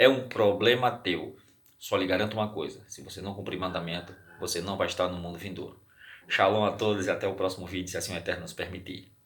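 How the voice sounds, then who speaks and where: A man's fairly low voice at a very fast pace, fairly even in intonation, with audible room echo. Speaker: religious teacher. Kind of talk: bible study. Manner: halting.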